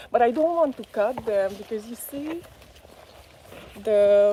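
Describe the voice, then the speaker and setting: A woman's fairly high voice with a Hungarian accent, dark and mellow in tone, at a fairly slow pace. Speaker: gardening vlogger. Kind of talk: live stream garden tour. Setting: outdoors in garden. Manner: hesitant, many fillers.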